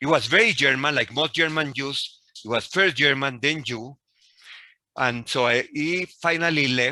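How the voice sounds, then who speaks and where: On a very clean recording with a silent background, a man with a Spanish accent speaks at a moderate pace in a bright, sharp tone, fairly high pitch and ordinary pitch variation. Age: 60s. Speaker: professor. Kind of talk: lecture.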